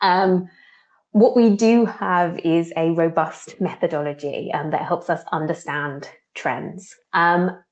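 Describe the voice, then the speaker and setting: Speaking in a British accent, a woman's voice sits fairly low in pitch. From UK. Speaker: trend researcher. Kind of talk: webinar presentation. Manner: casual, frequent fillers.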